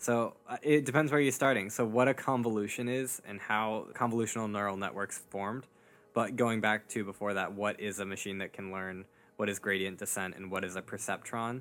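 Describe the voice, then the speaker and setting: A man's normal speaking voice, fairly low in pitch, fairly quick and fairly even in intonation. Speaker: podcast host and researcher. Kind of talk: casual chat.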